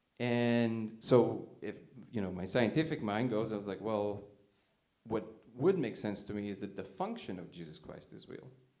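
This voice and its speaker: Over audible room echo, a man with a dark, mellow tone and fairly low pitch speaks at a moderate pace, his pitch varying in an ordinary way while his loudness swings widely. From Soviet Union (Russia). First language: Russian. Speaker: conference speaker. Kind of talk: talk with audience questions. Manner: casual, filler-heavy.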